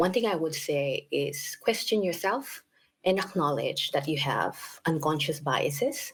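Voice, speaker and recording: Speaking at a fairly slow pace with a Filipino accent, a woman uses lively intonation in a fairly low pitch. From Philippines. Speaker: equity advocate. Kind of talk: panel discussion.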